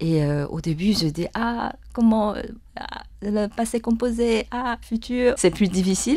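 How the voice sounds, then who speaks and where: With a Chinese accent, a woman speaks at a very slow pace and a fairly high pitch. Her tone is dark and mellow, her intonation lively. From Taiwan. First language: Mandarin Chinese (speaking French). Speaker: yangqin musician. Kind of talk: interview. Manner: halting, many hesitations.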